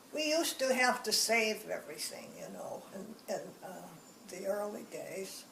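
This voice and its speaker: A woman speaks at a moderate pace, with big swings in loudness. Noticeable background noise and audible room echo fill the recording. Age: 80s+. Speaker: elderly woman recounting her life. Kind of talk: life story interview. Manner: halting.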